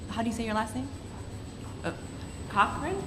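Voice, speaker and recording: A woman speaks with audible room echo. Noticeable background noise can be heard. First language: Spanish. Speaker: student panelist. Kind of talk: panel discussion.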